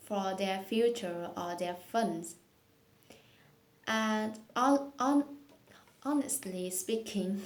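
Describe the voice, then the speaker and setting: A woman speaks very slowly with a Vietnamese accent. She leaves long, frequent pauses. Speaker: English learner vlogger. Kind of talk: speaking practice monologue. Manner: hesitant, with fillers.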